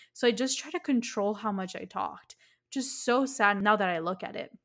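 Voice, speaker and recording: Here a woman talks in a normal speaking voice with an American accent. Her fairly high pitch carries ordinary pitch variation at a moderate pace. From Miami, Florida. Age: 20s. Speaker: podcast host and business coach. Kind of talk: solo podcast monologue.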